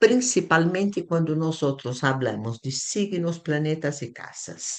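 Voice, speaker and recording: Speaking at a very slow pace, a woman uses a very deep, low voice that makes very wide pitch swings. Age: 70s. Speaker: astrology teacher. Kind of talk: lecture. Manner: halting.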